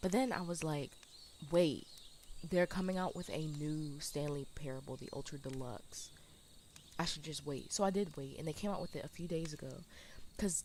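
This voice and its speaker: A woman speaks quietly at a moderate pace, her very deep, low pitch showing ordinary pitch variation. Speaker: video game streamer. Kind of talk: casual gameplay commentary. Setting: live stream.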